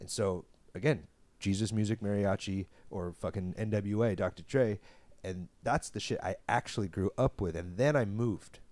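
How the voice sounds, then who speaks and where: A man with a normal speaking voice talks at a fairly low pitch and a moderate pace, with ordinary pitch variation. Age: 30s. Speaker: adult film performer. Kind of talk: casual interview.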